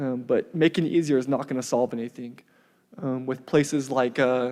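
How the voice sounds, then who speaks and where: With an American accent, a man speaks at a medium pitch in a dark, mellow tone with fairly even intonation. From central Washington, US. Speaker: public commenter, local business owner. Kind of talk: public comment at council meeting. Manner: fast; hesitant, many fillers.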